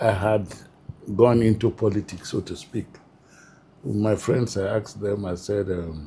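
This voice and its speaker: A man with a northern Nigerian accent speaks fairly slowly in a fairly low, somewhat breathy voice with a dark, mellow tone. His intonation is fairly even, broken by long, frequent pauses. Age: 70s. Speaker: retired public administrator. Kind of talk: interview. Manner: hesitant, with fillers.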